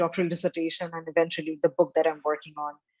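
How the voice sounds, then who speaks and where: A woman speaks with a Bengali accent. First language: Bangla. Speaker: photography historian. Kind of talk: interview. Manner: hesitant, many fillers.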